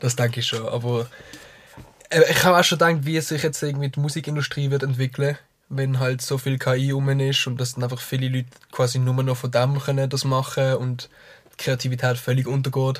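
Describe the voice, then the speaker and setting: Somewhat breathy, a man talks with monotone, flat intonation. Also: medium pitch for a man, fairly quick pace. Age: 20s. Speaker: musician. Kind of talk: casual chat. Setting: studio. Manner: fast.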